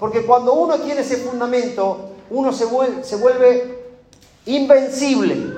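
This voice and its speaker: An extremely high-pitched man at a fairly slow pace, fairly even intonation, with audible room echo and noticeable background noise. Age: 40s. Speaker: pastor. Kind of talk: sermon. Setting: church.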